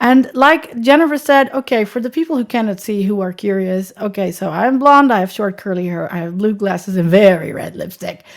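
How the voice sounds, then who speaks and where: A woman with a Dutch accent, lively intonation and a fairly quick pace. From Netherlands. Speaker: accessibility consultant. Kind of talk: podcast interview.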